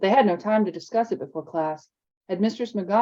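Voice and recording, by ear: The background stays quiet. A passage is being read aloud in a natural voice, with ordinary pitch variation.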